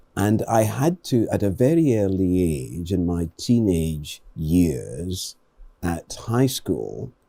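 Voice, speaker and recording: At a very slow pace, a man with a British accent speaks in a very deep, low, dark and mellow voice with very wide pitch swings. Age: 70s. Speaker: professor and community advocate. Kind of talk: studio interview. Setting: studio.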